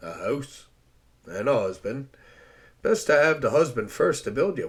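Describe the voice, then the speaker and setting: A man puts on a raspy character voice. He moves at a moderate pace with big swings in loudness. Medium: read story. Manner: crude, blunt, slow and careless.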